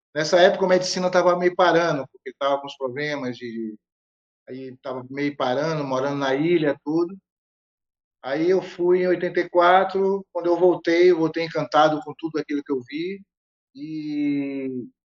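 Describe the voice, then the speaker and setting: This is an ordinary speaking voice at a moderate pace, with ordinary pitch variation. Its loudness swings widely. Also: man. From Bahia, Brazil (Feira de Santana). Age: 60s. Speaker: capoeira master. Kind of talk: interview conversation.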